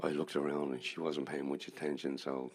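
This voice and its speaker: Monotone and flat, a man with a very deep, low pitch and vocal fry talks at a fairly quick pace. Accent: Dublin. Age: 70s. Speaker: musician. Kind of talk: stage storytelling between songs. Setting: stage with audience.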